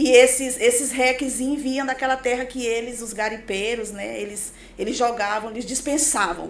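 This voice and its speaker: Moderate pace with hardly any pauses, fairly even intonation, big swings in loudness, audible room echo and noticeable background noise. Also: woman, high pitch for a woman. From Pará, Brazil (born in Maranhão). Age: 40s. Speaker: pastor and businesswoman. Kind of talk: podcast interview, life story.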